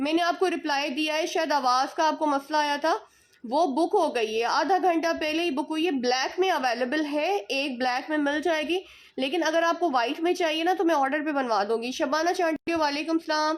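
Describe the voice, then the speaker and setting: A woman speaks at a fairly slow pace with a high pitch and ordinary pitch variation. There are hardly any pauses. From interior Sindh, Pakistan (Shahdadpur). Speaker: online clothing seller. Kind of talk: live-stream sales chat. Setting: live stream. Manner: animated.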